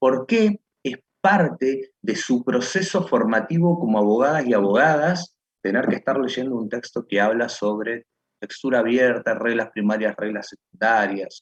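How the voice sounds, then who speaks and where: Dry and close with no echo, a man with an unremarkable speaking voice and medium pitch speaks at a fairly slow pace with lively intonation. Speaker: law/philosophy professor. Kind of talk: online lecture class.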